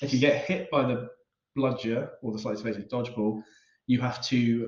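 A man speaks at a moderate pace in a somewhat breathy, medium-pitched voice, with fairly even intonation and long, frequent pauses. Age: 30s. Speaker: podcast co-host. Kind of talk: casual chat.

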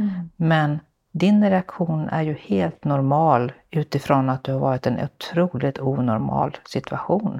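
Against a quiet background, a woman's very deep, low voice comes through with a dark, mellow tone and a dry, close sound with no echo. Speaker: podcast host, social entrepreneur. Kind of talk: interview. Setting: home visit, on location. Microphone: echo in the room.

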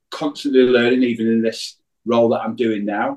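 A man speaks with an English accent. His pitch is medium. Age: 50s. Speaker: business owner. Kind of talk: casual chat.

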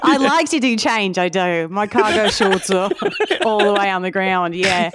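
Over noticeable background noise, a woman speaks at a medium pitch and moderate pace, her tone playful and her intonation lively. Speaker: podcast guest. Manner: playful, comedic.

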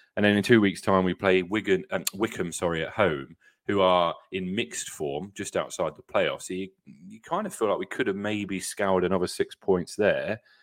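A man with a British accent talks at a moderate pace with hardly any pauses. The recording is very clean with a silent background. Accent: British accent, ordinary. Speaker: football podcast host. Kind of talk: casual chat.

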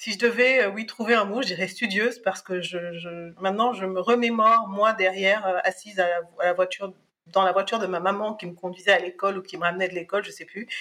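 A woman at a medium pitch speaks at a fairly quick pace, her loudness swinging widely over noticeable background noise. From Cameroon, then France from age 10. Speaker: harassment survivor and association founder. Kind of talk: testimony. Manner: halting, with frequent hesitations.

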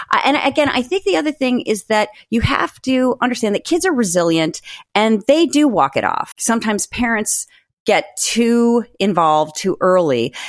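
Here a woman speaks at a moderate pace with very wide pitch swings. The recording is very clean, with a silent background. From US Northeast and Midwest. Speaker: author. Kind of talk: casual chat.

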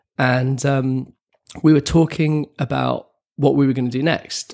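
A man's voice at medium pitch. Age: 30s. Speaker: documentary film director. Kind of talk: interview. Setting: office. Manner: halting, many repetitions.

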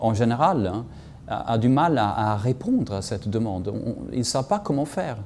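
At a fairly slow pace, a man with a Swedish accent speaks with lively intonation. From Sweden. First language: Swedish (speaking French). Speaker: journalist and essayist. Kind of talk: interview analysis. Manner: halting, many repetitions and hesitations.

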